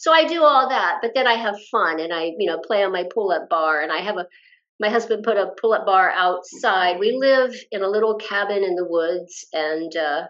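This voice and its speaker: A woman speaks with lively intonation at a moderate pace. She has a normal speaking voice. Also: medium pitch for a woman. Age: 60s. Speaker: fitness influencer and personal trainer. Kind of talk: casual chat.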